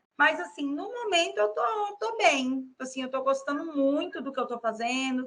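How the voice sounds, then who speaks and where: A woman with a high pitch and a bright, sharp tone speaks at a moderate pace in a raised, projected voice. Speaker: psychologist. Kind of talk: interview.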